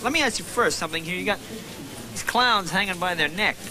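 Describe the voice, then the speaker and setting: A man talks at a very fast pace in a raised, projected voice. Noticeable background noise runs underneath. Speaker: comedian. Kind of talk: interview questions. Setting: bingo hall.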